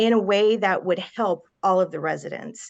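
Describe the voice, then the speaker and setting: A woman with an American accent at medium pitch and moderate pace, an ordinary speaking voice over a quiet background. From Ohio. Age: 40s. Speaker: mayoral candidate. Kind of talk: candidate interview.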